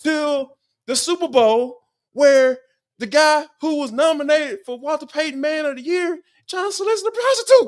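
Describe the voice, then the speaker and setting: A man with an extremely high pitch and an Atlanta accent, on a very clean recording with a silent background. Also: lively intonation, moderate pace. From Atlanta, Georgia. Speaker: sports analyst. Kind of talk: casual chat.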